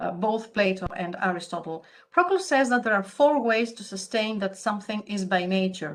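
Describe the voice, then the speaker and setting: At a moderate pace, a woman of medium pitch speaks with a Greek accent and lively intonation. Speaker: academic conference speaker. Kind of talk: conference paper presentation.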